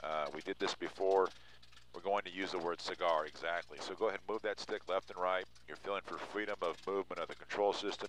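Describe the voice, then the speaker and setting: The speech moves at a fairly quick pace. The sound is dry with no echo, over light background noise. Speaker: flight instructor. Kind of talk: instruction. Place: plane. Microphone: headset.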